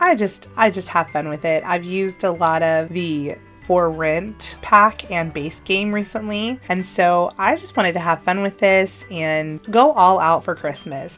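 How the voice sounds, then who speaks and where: Music plays behind a woman with an upbeat tone and a fairly low pitch. She talks at a fairly slow pace with ordinary pitch variation. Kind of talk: casual talk over gameplay build. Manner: chatty, upbeat.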